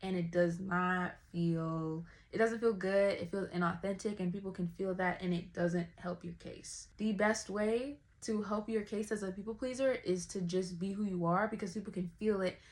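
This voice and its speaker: At a moderate pace and with hardly any pauses, a woman talks in a medium pitch, her voice somewhat breathy and her intonation fairly even. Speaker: vlogger. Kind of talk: personal talk to camera. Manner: casual, conversational.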